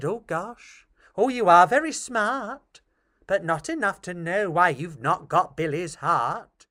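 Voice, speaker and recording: In a put-on character voice, a man speaks fairly slowly at a high pitch on a very clean recording with a silent background. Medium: read story. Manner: warm, effusive.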